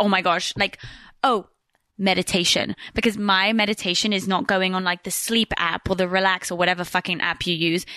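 A woman at a medium pitch speaks at a fairly quick pace with fairly even intonation and a bright, sharp tone, in a dry, close sound with no echo against a quiet background. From Switzerland and England, English family. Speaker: podcaster. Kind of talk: casual chat. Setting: studio, on host's couch.

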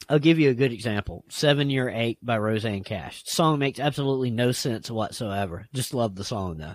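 Very clean recording, silent background: a medium-pitched man with an American accent, fairly quick pace, hardly any pauses and ordinary pitch variation. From US South (Appalachian roots, South Carolina). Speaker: podcast host. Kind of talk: casual chat.

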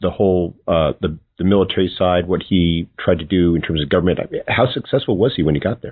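A man's very deep, low voice at a very fast pace, with ordinary pitch variation. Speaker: podcast host. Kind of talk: interview questions.

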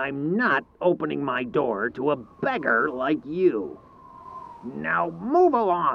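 A man puts on a character voice with vocal fry, speaking at a slow pace with big pitch swings. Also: fairly high pitch for a man.

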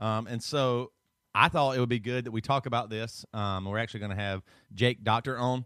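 In a Southern US accent, a man with a bright, sharp tone speaks at a medium pitch and a fairly quick pace, recorded dry and close with no echo on a very clean track with a silent background. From US South. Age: 30s. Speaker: podcast co-host. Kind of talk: casual chat. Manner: animated.

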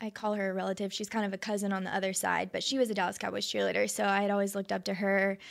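The speaker is a woman with an American accent. Her pitch is medium. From North Texas (Arlington, Flower Mound). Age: 20s. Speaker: professional cheerleader. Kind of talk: casual chat. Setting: studio.

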